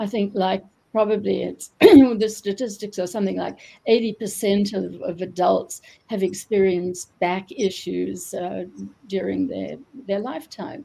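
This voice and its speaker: Her voice is dark and mellow with vocal fry, set at a medium pitch for a woman and delivered at a fairly slow pace. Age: 70s. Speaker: retired doctor and author. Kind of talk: interview. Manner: halting, many fillers.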